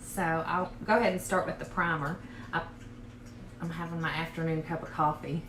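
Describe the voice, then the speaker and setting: Through noticeable background noise and audible room echo, a woman with a strong Southern US accent and a fairly low pitch speaks at a moderate pace with fairly even intonation and long, frequent pauses. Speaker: beauty vlogger. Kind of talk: casual makeup tutorial livestream. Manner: casual, many fillers.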